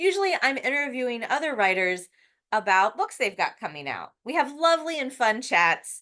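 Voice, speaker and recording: A woman's raised, projected voice, high in pitch and bright and sharp in tone, with very wide pitch swings at a moderate pace. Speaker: poet. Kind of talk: casual talk to camera.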